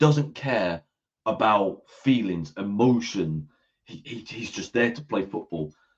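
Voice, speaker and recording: Fairly slow and fairly low-pitched, a man with an English accent speaks with lively intonation and big swings in loudness. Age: 20s. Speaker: football podcast host. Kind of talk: casual chat. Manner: animated.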